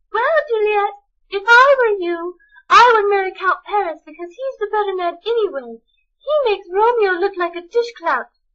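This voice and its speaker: A woman's squeaky, extremely high, put-on character voice with lively intonation at a moderate pace. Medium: read story.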